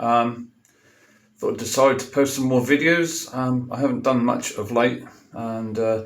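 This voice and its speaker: The speaker talks at a fairly slow pace with a Norfolk accent and fairly even intonation. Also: man, medium pitch for a man. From Norfolk, England. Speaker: tall bike builder and rider. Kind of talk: casual talk to camera. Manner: hesitant, many filler sounds.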